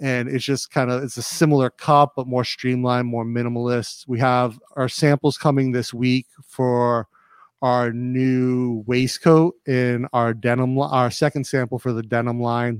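Speaking at a moderate pace, a man holds a medium pitch with monotone, flat intonation. The sound is dry and close, with no echo. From Rhode Island. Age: 40s. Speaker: clothing entrepreneur and YouTuber. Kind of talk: casual interview.

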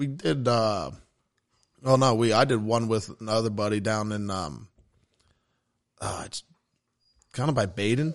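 A man talks at a medium pitch with ordinary pitch variation. His pauses are long and frequent. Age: 30s. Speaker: hunter. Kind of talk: casual chat.

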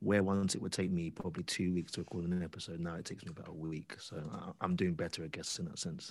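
Speaking very fast in a British accent, a man has a very deep, low pitch and monotone, flat intonation. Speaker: audio drama creator. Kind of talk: interview. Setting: video call.

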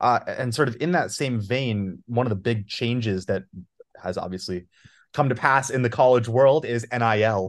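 A man with a plain, everyday voice speaks at medium pitch and a moderate pace, with ordinary pitch variation. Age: 20s. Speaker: podcast host. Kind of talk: interview.

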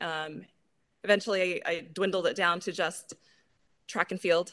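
With an American accent, a woman speaks at a moderate pace in a fairly low pitch, her bright, sharp tone held to a monotone, flat intonation over a quiet background. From Idaho, US. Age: 40s. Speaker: grip sport athlete. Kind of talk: casual interview. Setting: remote call.

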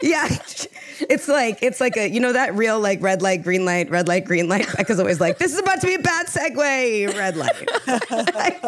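A woman's voice with very wide pitch swings, very even loudness and a moderate pace, over noticeable background noise. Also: fairly high pitch for a woman. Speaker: podcast co-host. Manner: enthusiastic, laughs often.

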